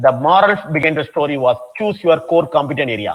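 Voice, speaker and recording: In a Tamil Nadu accent, a man speaks with very wide swings in pitch. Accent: Tamil Indian English. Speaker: professor. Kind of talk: lecture.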